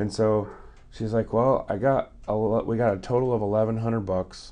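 Fairly quick and with fairly even intonation, a plain, everyday voice speaks with an American accent. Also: man. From US West Coast. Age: 40s. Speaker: guest telling life stories. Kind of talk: casual storytelling.

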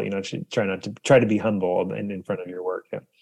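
A man with an American accent and a fairly low pitch talks very fast. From US. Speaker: composer and musician. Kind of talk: interview.

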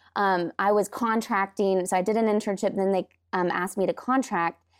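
An unremarkable speaking voice from a woman, medium in pitch and moderate in pace, with fairly even intonation, on a very clean recording with a silent background and a dry, close sound with no echo. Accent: American. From US Pacific Northwest, Washington. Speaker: church guest services director. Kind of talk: casual interview.

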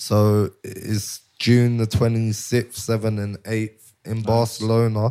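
With a London accent, a man speaks at a very slow pace in a medium pitch, using monotone, flat intonation and a dark, mellow tone. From North London. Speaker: cannabis shop brand owner. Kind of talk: casual interview.

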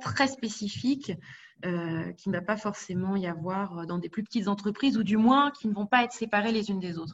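A woman speaks with a somewhat breathy voice. Her pace is moderate. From Paris region, France. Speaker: HR specialist. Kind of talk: interview.

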